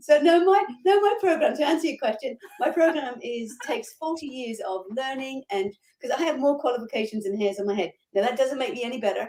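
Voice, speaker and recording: Talking fairly quickly, the woman uses a high voice that swings very widely in pitch. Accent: Australian. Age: 50s. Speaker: life coach. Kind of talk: interview.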